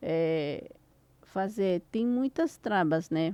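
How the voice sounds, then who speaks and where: A woman with a Spanish accent speaks at medium pitch in a dark, mellow tone with ordinary pitch variation. The sound is dry and close with no echo, a very clean recording with a silent background. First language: Spanish (speaking Portuguese). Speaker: podcast host and e-commerce mentor. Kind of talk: interview conversation.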